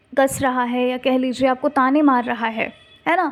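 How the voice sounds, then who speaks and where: She is soft-spoken. Her pitch sits high for a woman. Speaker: tarot card reader. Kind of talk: tarot reading addressed to viewers. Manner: soft-spoken, speaking slowly; casual, conversational.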